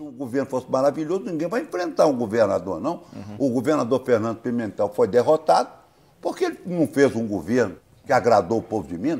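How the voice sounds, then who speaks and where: The voice has vocal fry and very wide pitch swings, delivered at a very fast pace. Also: man. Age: 60s. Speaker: politician, gubernatorial candidate. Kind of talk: interview answer. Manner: blunt, informal.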